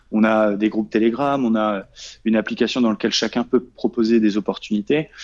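A man's voice at a medium pitch. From Normandy, France. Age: 30s. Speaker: trader and trading coach. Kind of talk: interview. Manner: halting, many fillers and repetitions.

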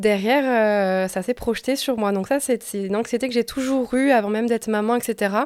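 With a plain, everyday voice, a woman speaks at a fairly high pitch and a moderate pace, with fairly even intonation and hardly any pauses. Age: 20s. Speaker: nurse and mother sharing postpartum story. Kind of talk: testimony.

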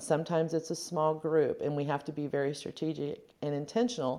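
A dark, mellow voice with an American accent talks at a fairly quick pace over a quiet background. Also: woman. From rural west-central Indiana, US Midwest. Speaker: university development director. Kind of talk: interview.

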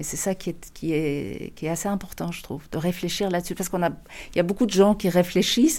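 A woman speaks at a fairly quick pace in a fairly low pitch with a dark, mellow tone. Her intonation is fairly even, and the recording is very clean with a silent background. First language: not French (speaking French). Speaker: novelist and screenwriter. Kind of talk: interview about favourite books. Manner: hesitant, many repetitions and fillers.

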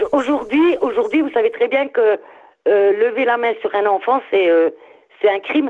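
A high-pitched woman's voice at a fairly slow pace, with very wide pitch swings, very even loudness and long, frequent pauses. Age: 60s. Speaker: caller, grandmother. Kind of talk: casual chat. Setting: phone call.

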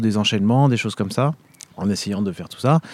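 The dark, mellow tone of a man, captured in a very clean recording against a silent background. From France, Vendée. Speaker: orchestral trumpeter and conservatory professor. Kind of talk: interview. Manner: hesitant, many fillers.

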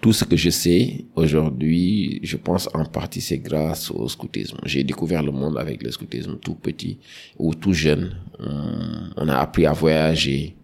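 A man speaks fairly slowly in a very deep, low voice. Background noise is noticeable. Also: ordinary pitch variation. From Senegal, Dakar. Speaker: HSE manager and environmental activist. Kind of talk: podcast interview.

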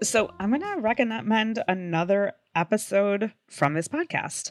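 In a very clean, dry, close recording with a silent background and no echo, a woman with a plain, everyday voice speaks at a fairly slow pace and medium pitch with lively intonation. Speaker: podcast host. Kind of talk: casual chat.

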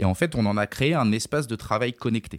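A man at a fairly slow pace with ordinary pitch variation, on a very clean recording with a silent background and a dry, close sound with no echo. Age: 30s. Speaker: entrepreneur, company director. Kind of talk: interview. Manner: hesitant, many fillers.

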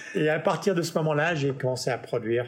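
Ordinary pitch variation marks a man's somewhat breathy speech. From Paris, then Los Angeles from age 9. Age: 50s. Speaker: music tech entrepreneur. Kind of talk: interview conversation. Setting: home studio.

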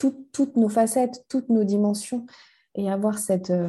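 A woman speaks at a very slow pace in a dark, mellow, somewhat breathy tone. The background is quiet. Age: 40s. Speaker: life coach and mentor. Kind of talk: interview conversation. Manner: halting, many repetitions and fillers.

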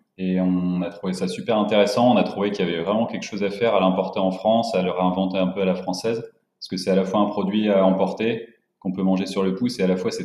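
At a very fast pace, a man speaks in a very deep, low pitch with monotone, flat intonation. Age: 20s. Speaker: entrepreneur. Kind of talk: casual interview.

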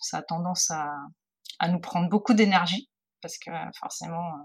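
Somewhat breathy, a woman speaks at a moderate pace with a fairly low pitch and fairly even intonation. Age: 40s. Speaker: photographer. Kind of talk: interview. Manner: halting.

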